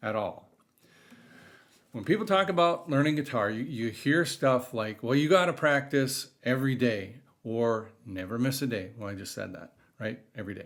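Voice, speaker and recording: An unremarkable speaking voice from a man at medium pitch and a moderate pace, with ordinary pitch variation, on a very clean recording with a silent background. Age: 50s. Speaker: guitar hobbyist vlogger. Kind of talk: casual talk to camera.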